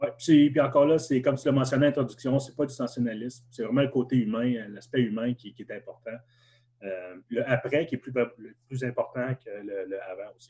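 A somewhat breathy man speaks at a fairly quick pace with a medium pitch, ordinary pitch variation, and big swings in loudness. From Quebec, Gatineau (Hull). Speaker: survivor of family tragedy, graduate student. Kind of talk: testimony.

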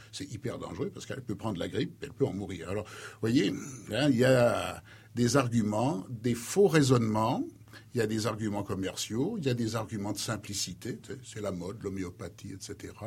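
The voice is somewhat breathy, at a moderate pace with ordinary pitch variation. Its loudness swings a lot. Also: man, medium pitch for a man. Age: 60s. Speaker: retired pharmacology professor. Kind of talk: radio interview.

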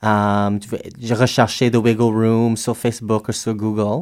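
Speaking at a very slow pace, a man with an English accent has a medium pitch, captured in a very clean recording with a silent background. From Alberta, western Canada. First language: English (speaking French). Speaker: drag performer. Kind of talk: casual interview. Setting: radio studio.

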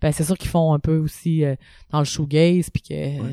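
At a moderate pace, a woman speaks with a very deep, low pitch and a dark, mellow tone, her intonation fairly even, in a dry, close sound with no echo. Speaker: punk rock singer and drummer. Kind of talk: casual interview.

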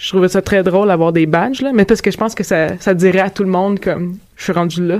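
Her pitch is medium and shows ordinary variation. The woman talks at a very fast pace. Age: 30s. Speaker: podcast host. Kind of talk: casual discussion.

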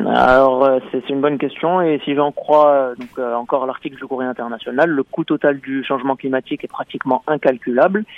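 The speech moves at a moderate pace, and its intonation stays fairly even. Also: man, fairly high pitch for a man. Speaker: radio correspondent. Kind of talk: radio report.

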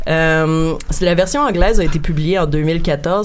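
Over noticeable background noise and audible room echo, a woman with a fairly low voice speaks fairly slowly with ordinary pitch variation. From Quebec, Montreal. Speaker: guest on a video game podcast. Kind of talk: casual chat.

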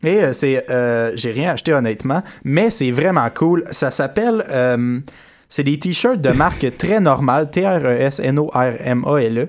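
A man's fairly high voice at a very slow pace, in a very clean recording with a silent background. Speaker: podcast co-host. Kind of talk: casual chat.

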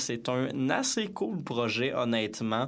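A man talks with a Quebec accent. Audible room echo and noticeable background noise are present. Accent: Québécois French. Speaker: radio host. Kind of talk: radio music show presenting. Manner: casual with frequent filler hesitations.

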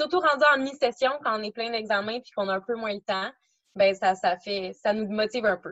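A woman talks at a moderate pace in an unremarkable speaking voice, fairly high in pitch. Her pitch variation is ordinary, but her loudness swings a lot. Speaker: university student. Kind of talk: interview.

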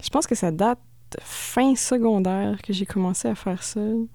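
A woman with a Quebec accent speaks in a dark, mellow tone. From Quebec, Thetford Mines. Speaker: experimental musician. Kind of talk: casual radio interview.

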